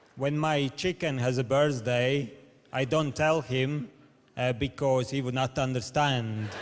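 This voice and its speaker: A man's medium-pitched voice with a Latvian accent at a fairly slow pace. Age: 30s. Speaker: comedian. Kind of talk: stand-up. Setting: stage with audience. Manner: halting; deadpan.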